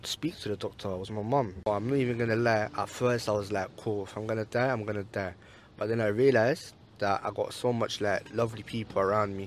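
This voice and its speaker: A man speaks in a London accent at a fairly quick pace with fairly even intonation. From East London. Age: young. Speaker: university student. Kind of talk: casual chat. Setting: in a car.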